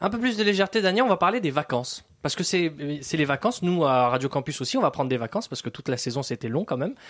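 On a very clean recording with a silent background, a man with a fairly high pitch races along at a very fast pace, his pitch swinging very widely and hardly any pauses breaking his speech. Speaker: radio host. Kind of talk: radio show hosting. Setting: studio.

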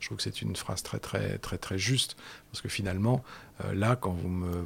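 A man speaks in a very deep, low pitch. His voice is somewhat breathy. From Tahiti and Madagascar. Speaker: writer and traveller. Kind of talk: radio interview. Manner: halting, many hesitations.

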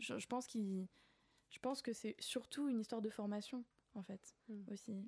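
A woman speaks in a fairly high, somewhat breathy voice at a moderate pace, with fairly even intonation, long, frequent pauses and a dry, close sound with no echo. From grew up abroad, various countries. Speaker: children's author. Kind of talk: radio interview. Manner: halting, many repetitions and hesitations.

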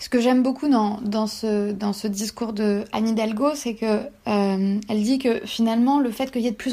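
A woman speaks at a moderate pace with a fairly high pitch and fairly even intonation. Her voice is somewhat breathy. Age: 20s. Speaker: PhD student and feminist newsletter founder. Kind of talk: personal testimony interview. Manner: halting with frequent fillers.

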